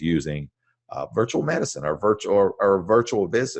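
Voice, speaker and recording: The voice has vocal fry, set in a dry, close sound with no echo against a quiet background. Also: man. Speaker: webinar presenter on chiropractic business. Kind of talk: live webinar presentation. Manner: halting, many fillers and restarts.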